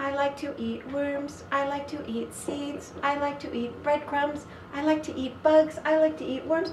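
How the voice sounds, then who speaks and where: A woman performs a put-on character voice at a high pitch and a moderate pace. She leaves hardly any pauses, and clear background noise is audible. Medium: read story.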